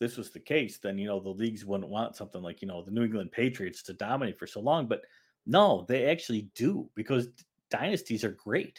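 A man talks in a normal speaking voice at a fairly quick pace, with medium pitch and lively intonation. The recording is very clean, with a silent background. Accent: American. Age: 50s. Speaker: author and investigative journalist. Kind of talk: casual interview.

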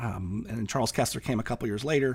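An American accent marks this man's fairly quick speech. Vocal fry runs through his voice. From California. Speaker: professor and author. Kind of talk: casual interview conversation.

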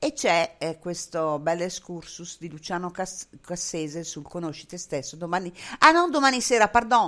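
With lively intonation, a woman speaks at a moderate pace in a fairly low pitch. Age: 60s. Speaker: web radio host. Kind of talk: casual interview. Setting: Skype call with headphones.

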